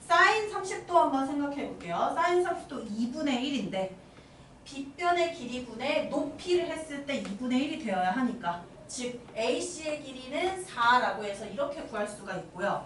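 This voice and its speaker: A woman with a high voice speaks at a moderate pace, her pitch swinging very widely. Audible room echo and noticeable background noise surround her. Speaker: math teacher. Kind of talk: lecture.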